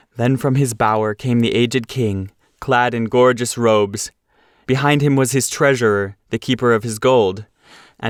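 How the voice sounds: Fairly even intonation runs through a natural reading voice, with a quiet background behind it.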